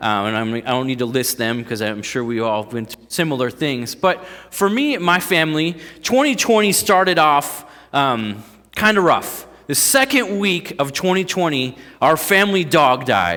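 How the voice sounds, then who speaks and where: Speaking in a Northeast Ohio accent, a man uses a fairly high pitch and very wide pitch swings. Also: moderate pace. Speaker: pastor. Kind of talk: sermon. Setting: church. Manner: casual, halting with fillers.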